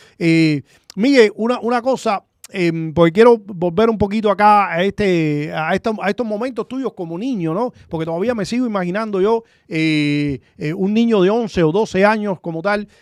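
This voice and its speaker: Recorded very cleanly with a silent background and a dry, close sound with no echo, a man speaks at a high pitch and a moderate pace with ordinary pitch variation. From Cuba. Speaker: talk show host. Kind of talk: interview. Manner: halting, many fillers.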